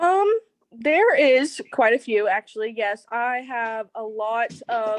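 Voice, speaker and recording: A woman with a slight country accent speaks very slowly in a fairly high voice. The background is quiet, and the sound is dry and close with no echo. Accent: slight country twang. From West Virginia (Buchanan). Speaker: entrepreneur. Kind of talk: interview.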